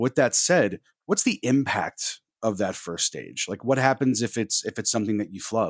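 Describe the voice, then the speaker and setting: A man with a plain, everyday voice speaks at a moderate pace and a medium pitch, with ordinary pitch variation. The sound is dry and close, with no echo. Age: 30s. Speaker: tech consultant and podcast co-host. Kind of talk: casual chat.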